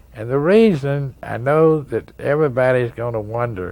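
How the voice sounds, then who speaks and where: Speaking with lively intonation at a fairly slow pace, a man talks in an East Tennessee accent. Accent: East Tennessee Southern US. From Tennessee, US South. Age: 70s. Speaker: pool player. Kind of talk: interview storytelling. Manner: halting, with fillers.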